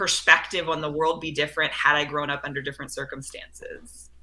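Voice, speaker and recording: Against noticeable background noise, a woman with a very deep, low pitch speaks at a fairly quick pace with an American accent. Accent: lacks a Southern. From US South, Mississippi Gulf Coast. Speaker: author and speaker. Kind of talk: interview conversation.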